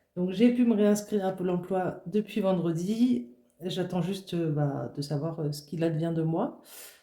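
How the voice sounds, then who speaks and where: A woman speaks at a fairly slow pace in a fairly low pitch, her tone dark and mellow, with ordinary pitch variation and audible room echo. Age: 20s. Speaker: budgeting vlogger. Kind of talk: casual vlog talk to camera. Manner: halting, many fillers.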